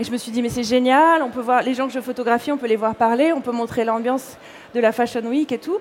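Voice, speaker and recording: Over noticeable background noise, a woman with a high pitch talks at a fairly quick pace with fairly even intonation. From Corsica. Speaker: fashion blogger and illustrator. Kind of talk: interview.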